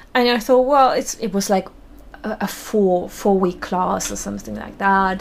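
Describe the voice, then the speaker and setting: A woman's medium-pitched voice at a moderate pace. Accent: German. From Germany, small town. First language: German. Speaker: burlesque performer and costume maker. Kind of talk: interview.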